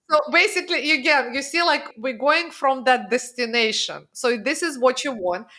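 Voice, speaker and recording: Projecting her voice loudly, a woman talks at a moderate pace with hardly any pauses, her high pitch, bright, sharp tone and lively intonation standing out. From Russia. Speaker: financial strategist. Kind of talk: podcast interview.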